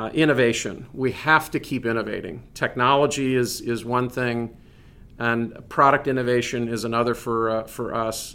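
A man with a Midwestern American accent, a bright, sharp tone, medium pitch, fairly even intonation and a moderate pace. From Northeast Indiana. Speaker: business executive. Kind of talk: interview.

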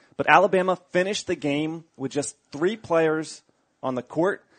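Speaking in a plain, everyday voice, a man uses a fairly high pitch, ordinary pitch variation and a moderate pace. The background is quiet, and the sound is dry and close with no echo. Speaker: podcast producer. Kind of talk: reading sports news topics.

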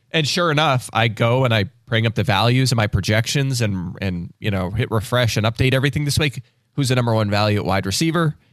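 At a very fast pace and very even loudness, a man speaks with ordinary pitch variation on a very clean recording with a silent background. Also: medium pitch for a man. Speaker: fantasy football analyst. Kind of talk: casual chat.

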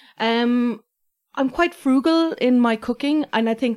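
A woman speaks in an Irish accent with ordinary pitch variation. The recording is very clean, with a silent background. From Ireland, Waterford. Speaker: food blogger and writer. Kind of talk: casual chat.

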